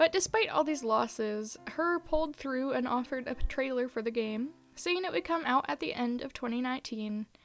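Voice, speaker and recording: Over music in the background, a woman with a high pitch speaks in lively intonation with hardly any pauses. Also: moderate pace. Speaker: video essayist. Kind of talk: video essay narration.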